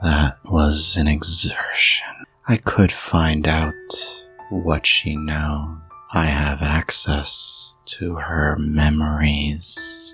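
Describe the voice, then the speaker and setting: A man uses a put-on character voice, very deep and low, delivered at a very slow pace. Faint music plays in the background. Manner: weak, faint.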